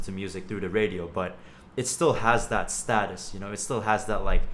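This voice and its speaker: Audible room echo surrounds the voice. The pace is moderate, with ordinary pitch variation. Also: man. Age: 20s. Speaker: podcast host. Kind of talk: casual interview.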